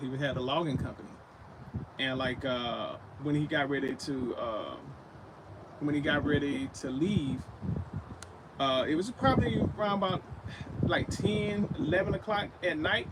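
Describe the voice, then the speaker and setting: Speaking at a moderate pace, a man with a fairly high voice leaves long, frequent pauses over noticeable background noise. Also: ordinary pitch variation. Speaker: paranormal livestream host. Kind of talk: live spirit box session. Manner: halting, self-correcting.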